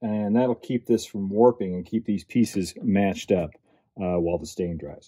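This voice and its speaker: A man with a dark, mellow tone, fairly low pitch and fairly even intonation at a moderate pace, quiet background. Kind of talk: tutorial. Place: workshop.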